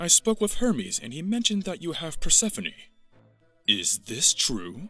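A man uses a put-on character voice, high in pitch, at a moderate pace. Faint music plays in the background. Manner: bossy, angry.

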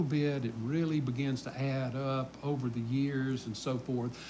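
With a Southern US accent, a somewhat breathy voice moves at a moderate pace over light background noise. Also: man. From US South. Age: 60s. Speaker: pastor. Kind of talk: Bible study teaching. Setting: church. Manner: casual. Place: church.

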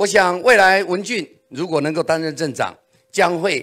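Against a quiet background, a man talks with a high pitch. His pace is fairly slow. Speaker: political candidate; candidate. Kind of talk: campaign policy speech. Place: meeting room. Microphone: handheld.

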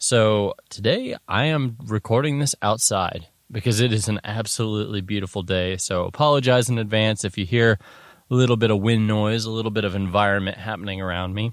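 This is an ordinary speaking voice at a fairly quick pace with ordinary pitch variation. The background is quiet, and the sound is dry with no echo. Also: man, fairly low pitch for a man. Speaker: podcast host. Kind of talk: casual podcast monologue. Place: open country.

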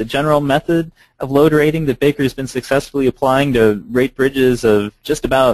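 A man at a fairly quick pace, in dry sound with no echo. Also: quiet background. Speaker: presenter. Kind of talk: lecture. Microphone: video call.

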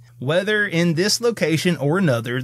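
With a Southern US accent, a man speaks at a moderate pace. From US South. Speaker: podcast co-host. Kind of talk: casual comedic banter, mock sermon. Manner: wry, playful.

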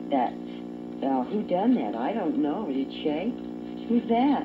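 A woman's low-pitched voice with big pitch swings, at a slow pace, over clear background music

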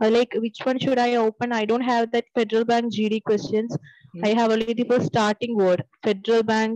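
A woman with a fairly high pitch speaks at a moderate pace in a monotone, flat intonation, her loudness very even and the sound dry with no echo. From Kerala, Trivandrum; Kerala. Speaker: bank job candidate; candidate. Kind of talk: mock group discussion practice. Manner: halting. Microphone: video call.

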